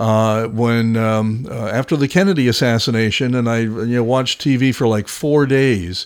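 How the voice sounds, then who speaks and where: Using a normal speaking voice, a man of medium pitch talks at a fairly slow pace with ordinary pitch variation and hardly any pauses. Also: very even loudness. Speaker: radio host. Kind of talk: interview.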